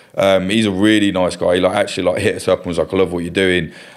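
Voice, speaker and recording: A man speaks at a very fast pace in a fairly low voice. His intonation stays fairly even. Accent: East Midlands. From England, East Midlands (Kettering, Northamptonshire). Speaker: journalist and documentary filmmaker. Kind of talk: casual interview chat.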